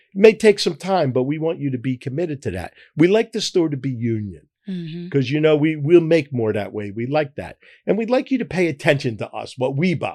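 In a Philadelphia accent, a man talks at a fairly quick pace with a fairly high pitch and a dark, mellow tone. His pitch swings very widely. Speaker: grocery chain founder. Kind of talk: interview. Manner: halting, repeats words.

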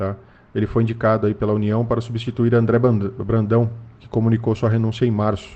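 A Brazilian accent at a fairly quick pace, with monotone, flat intonation. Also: man, medium pitch for a man. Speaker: financial market news host. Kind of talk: market news briefing. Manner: frequent fillers and hesitations.

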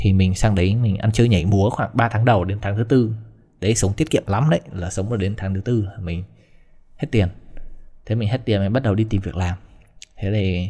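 A man with a fairly low, dark, mellow, somewhat breathy voice talks at a fairly quick pace with ordinary pitch variation and long, frequent pauses. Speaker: vlogger. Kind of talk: casual storytelling monologue.

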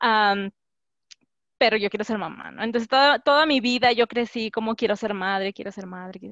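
At a fairly high pitch, a woman with a plain, everyday voice talks at a moderate pace with ordinary pitch variation and big swings in loudness. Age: 20s. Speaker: graduate student. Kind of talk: casual chat.

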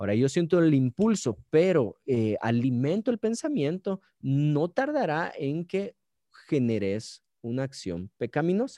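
In a quiet background with a dry, close sound and no echo, a man with a Guatemalan accent speaks fairly slowly, his dark, mellow tone sitting fairly high for a man and moving through very wide pitch swings. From Guatemala, Guatemala City. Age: 30s. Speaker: pastor. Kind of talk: casual chat.

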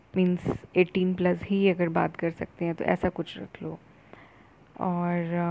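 The dark, mellow voice stays monotone and flat, broken by long, frequent pauses. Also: woman, fairly low pitch for a woman. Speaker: friend giving feedback. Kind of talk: voice note. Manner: halting.

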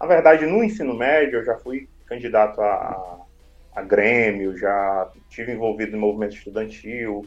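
A man's plain, everyday voice sits at a medium pitch, moving at an unhurried, moderate speed with normal rises and falls. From Ceará, Brazil (Maciço de Baturité). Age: young. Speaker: city councillor. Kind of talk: casual interview.

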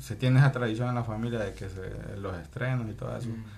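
A man talks with vocal fry and ordinary pitch variation. The room echo is audible. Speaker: podcast co-host. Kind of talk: casual chat. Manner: slow, measured speech.

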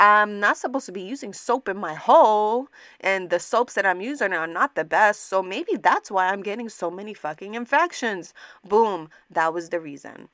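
A very clean recording with a silent background carries a bright, sharp, animated voice whose lively intonation and big swings in loudness come at a moderate pace. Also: woman, medium pitch for a woman. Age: 20s. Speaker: podcast host. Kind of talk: casual monologue.

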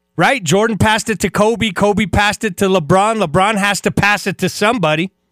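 A man talks at a high pitch with ordinary pitch variation. The sound is dry and close with no echo, and music plays in the background. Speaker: radio sports host. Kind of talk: radio dj patter, upbeat sports-talk monologue. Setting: radio studio. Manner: animated.

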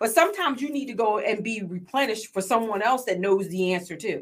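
Fairly high in pitch, a woman talks at a fairly quick pace with lively intonation. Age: 40s. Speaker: podcast host and business coach. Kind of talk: casual interview chat. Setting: podcast studio.

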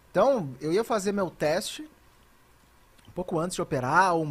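Recorded very cleanly against a silent background, a man talks at a high pitch for a man with ordinary pitch variation. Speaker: esports caster. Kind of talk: casual chat.

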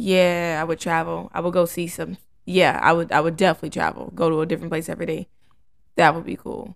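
On a very clean recording with a silent background, a woman with a fairly low voice speaks very fast in a monotone, flat delivery with vocal fry. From Kentucky and Jacksonville, Florida. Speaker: recent college graduate. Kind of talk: casual chat.

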